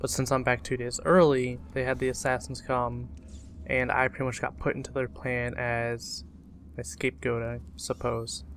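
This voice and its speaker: The speech is mumbled. Its intonation is lively. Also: man, medium pitch for a man, moderate pace. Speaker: gaming commentator. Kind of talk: let's play commentary. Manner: mumbling; casual.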